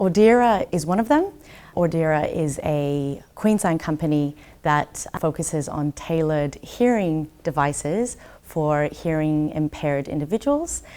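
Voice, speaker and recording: Speaking at a fairly slow pace, a woman with an Australian accent has a very deep, low voice and a dark, mellow tone. Her pitch moves in an ordinary way. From Brisbane, Australia. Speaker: trade commissioner. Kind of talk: interview.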